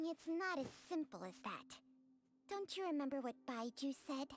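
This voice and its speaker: A female-sounding put-on character voice. Its pitch is high for a woman. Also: moderate pace. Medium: video game. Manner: measured, detached.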